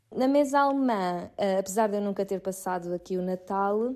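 A woman speaks at a medium pitch, the background quiet. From Portugal, Seixal (Setúbal district). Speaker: Portuguese emigrant. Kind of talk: recorded testimony. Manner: hesitant, with filler words.

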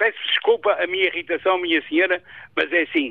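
A man speaks at a moderate pace while his pitch leaps and falls very widely. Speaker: caller. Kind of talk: radio call-in opinion. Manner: animated.

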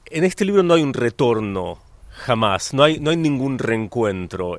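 The pitch of this man's voice swings very widely. He keeps a moderate pace. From Argentina. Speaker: novelist. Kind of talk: interview. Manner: halting, many repetitions.

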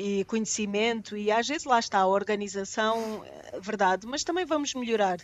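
A woman with a European Portuguese accent, fairly high pitch, moderate pace and ordinary pitch variation. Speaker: vaccine researcher and pharmacy professor. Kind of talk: radio panel discussion.

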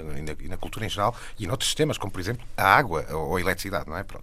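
Talking at a very fast pace, a man uses lively intonation and a bright, sharp tone. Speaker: television channel director. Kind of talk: radio panel discussion.

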